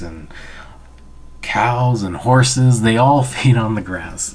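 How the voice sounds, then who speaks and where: Soft-spoken and very slow, a man talks at a medium pitch with ordinary pitch variation over noticeable background noise. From Canada, Anishinaabe/Ojibway. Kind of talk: storytelling to an audience, educational.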